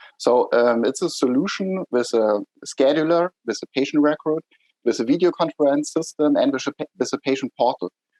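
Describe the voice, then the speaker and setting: A man with a German accent speaks fairly quickly in a fairly high voice with a dark, mellow tone. His pitch varies in an ordinary way, and the sound is dry and close with no echo. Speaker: startup executive. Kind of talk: interview.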